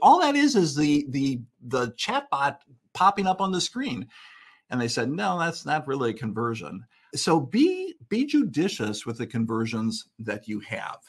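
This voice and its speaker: On a very clean recording with a silent background, a somewhat breathy man speaks at a fairly slow pace in a fairly high pitch with very wide pitch swings. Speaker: analytics consultant. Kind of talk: conference presentation.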